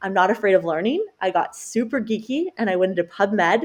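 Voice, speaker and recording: A woman talks with a Canadian accent in an ordinary speaking voice. Her pace is fairly quick and her pitch variation ordinary. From Canada. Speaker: dietitian and cancer survivor. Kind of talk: podcast interview.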